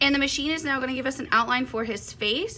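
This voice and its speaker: A woman's bright, sharp, upbeat voice in a Southern US accent, with ordinary pitch variation. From US South. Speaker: quilting and embroidery instructor. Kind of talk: tutorial. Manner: chatty, upbeat.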